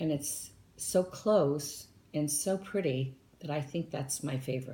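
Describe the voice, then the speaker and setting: A woman speaks at a fairly slow pace with a very deep, low pitch and ordinary variation. Her tone is dark and mellow and somewhat breathy. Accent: American. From southern California (Anaheim), early childhood in Tennessee. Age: 60s. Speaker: interviewee, retired flight attendant. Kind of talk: interview.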